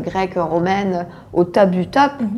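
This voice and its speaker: Speaking with fairly even intonation, this woman has a plain, everyday voice at a medium pitch. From Senegal. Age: 20s. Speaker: art gallery founder. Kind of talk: interview. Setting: office.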